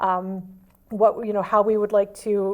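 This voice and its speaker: A woman talks at a medium pitch and a moderate pace in a monotone, flat intonation. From New Hampshire. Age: 30s. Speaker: library trustee candidate. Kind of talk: local TV talk show interview.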